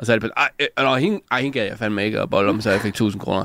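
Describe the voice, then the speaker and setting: This man's voice sits at a fairly low pitch with fairly even intonation, captured on a very clean recording with a silent background. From Denmark, Lolland (Sakskøbing). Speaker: comedian. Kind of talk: casual chat. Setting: radio studio.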